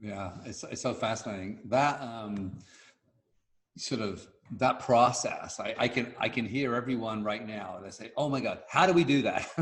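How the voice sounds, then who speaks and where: A medium-pitched man's voice with big swings in loudness and audible room echo. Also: ordinary pitch variation, moderate pace. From London, East End (Bethnal Green). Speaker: podcast host. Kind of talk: interview conversation.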